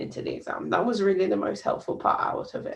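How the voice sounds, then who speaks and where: A woman in a British accent at a fairly quick pace. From UK. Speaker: doctor. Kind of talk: presentation. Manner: halting, frequent fillers.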